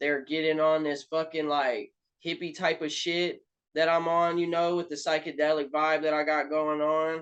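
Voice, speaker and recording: In a Southern US accent, a man with a fairly high pitch speaks at a moderate pace in a flat monotone. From Alabama, US South. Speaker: rapper. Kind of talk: casual interview.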